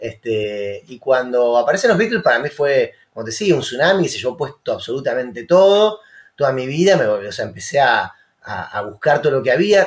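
A man with an Argentine accent talks at a fairly quick pace. His voice is somewhat breathy, with very wide pitch swings. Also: fairly high pitch for a man. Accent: Rioplatense Argentine Spanish. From Rosario, Argentina. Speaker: musician. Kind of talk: casual chat.

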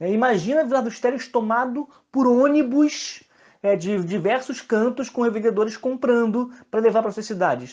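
At a moderate pace, a man talks with an extremely high pitch and ordinary pitch variation. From Brazil, São João de Meriti (Rio de Janeiro area). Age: 30s. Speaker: politician and teacher. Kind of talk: interview.

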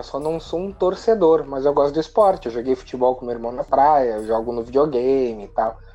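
A man speaks with hardly any pauses over noticeable background noise. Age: 30s. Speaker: podcast co-host. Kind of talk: casual chat. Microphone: connection cutting out.

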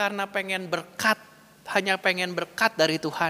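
A man with a West Javanese accent speaks at a very slow pace. His voice is raised and projected, with a bright, sharp tone. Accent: Sundanese. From West Java (Bandung). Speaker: pastor. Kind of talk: sermon. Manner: conversational.

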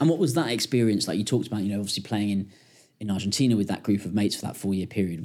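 The speaker is a man with a fairly low pitch. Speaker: podcast host. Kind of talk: casual interview.

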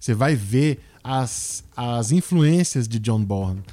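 A man talks with a Brazilian accent. His tone is dark and mellow, with ordinary pitch variation. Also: dry, close sound with no echo. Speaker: podcast host and journalist. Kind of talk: casual chat.

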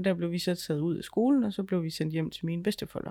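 A woman's very deep, low voice with a dark, mellow tone and ordinary pitch variation, in a very clean recording with a silent background. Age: 30s. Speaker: podcast co-host, ghost hunter. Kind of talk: casual chat.

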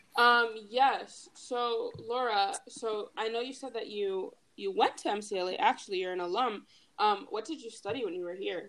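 In a normal speaking voice, the speaker talks at a fairly slow pace with ordinary pitch variation. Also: woman, fairly high pitch for a woman. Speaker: student club officer and podcast host. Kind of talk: casual chat.

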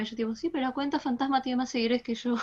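A woman is speaking. Her pitch is high. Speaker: gaming community admin. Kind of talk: casual chat.

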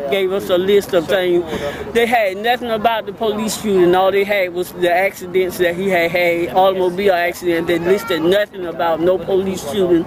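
Noticeable background noise sits behind a woman's medium-pitched voice. She talks at a fairly quick pace with fairly even intonation. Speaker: grieving grandmother. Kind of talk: interview statement.

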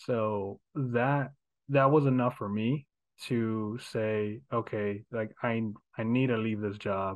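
This man has a normal speaking voice with an American accent. His pitch sits in the middle range, and his intonation stays fairly even. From Houston, Texas. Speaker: real estate agent and investor. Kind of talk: casual interview.

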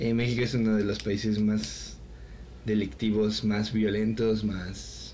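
A man with a Mexican accent, fairly low in pitch and monotone with flat intonation, at a very slow pace with very even loudness and audible room echo. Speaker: podcast co-host. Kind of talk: casual chat.

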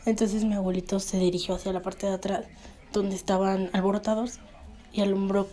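Her intonation monotone and flat, a woman speaks at a medium pitch and a fairly quick pace. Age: 20s. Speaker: podcast host and university student. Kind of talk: storytelling.

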